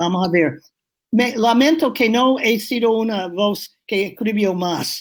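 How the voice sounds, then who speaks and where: With a strong New England accent, a woman of fairly high pitch speaks at a very slow pace with lively intonation. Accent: strong New England American accent in Spanish. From New England, US. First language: English (speaking Spanish). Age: 80s+. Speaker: urban planner. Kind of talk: interview. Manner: halting.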